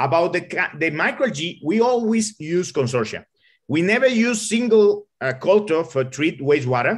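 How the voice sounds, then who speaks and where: With a Spanish accent, a man speaks at a moderate pace in a high pitch with very wide swings, over a quiet background. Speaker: engineer. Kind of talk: Q&A answer in online talk. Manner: halting.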